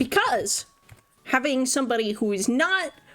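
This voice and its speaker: Noticeable background noise runs under the clip. A woman speaks with lively intonation. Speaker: vtuber streamer. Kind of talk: casual livestream commentary.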